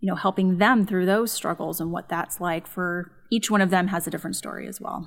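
A woman with a Californian accent speaks at a moderate pace and medium pitch. Her intonation is fairly even, and the recording is very clean with a silent background. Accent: Californian American. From Los Angeles suburbs, California. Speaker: psychologist and podcast host. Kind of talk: casual chat.

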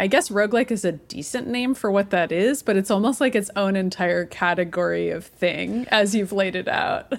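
With a plain, everyday voice, a woman at medium pitch talks at a moderate pace with lively intonation and hardly any pauses. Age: 30s. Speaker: video game podcast co-host. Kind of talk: casual chat.

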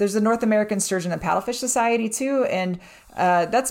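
Here a woman has an ordinary speaking voice, talking at a fairly quick pace with ordinary pitch variation. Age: 40s. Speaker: fish biologist. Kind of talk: casual chat.

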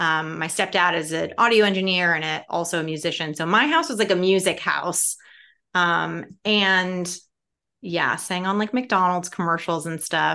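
A woman's fairly low voice with a bright, sharp tone, at a moderate pace against a quiet background. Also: ordinary pitch variation. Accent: American. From Chicago. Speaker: TV comedy writer. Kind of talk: interview. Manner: animated.

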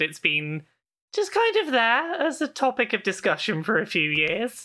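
On a very clean recording with a silent background, a woman with a British accent speaks in a bright, sharp tone. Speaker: video game journalist. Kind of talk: casual interview chat.

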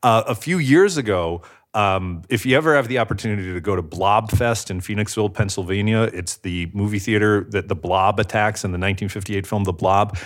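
In an ordinary speaking voice, a man talks at a fairly quick pace and fairly low pitch, with ordinary pitch variation and hardly any pauses. The recording is very clean, with a silent background. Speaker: pop culture presenter and author. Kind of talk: casual chat.

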